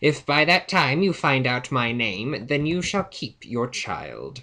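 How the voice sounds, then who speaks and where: A man puts on a character voice, his pitch sitting in the medium range as he talks fairly slowly. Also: lively intonation. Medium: read story. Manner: sly, bargaining.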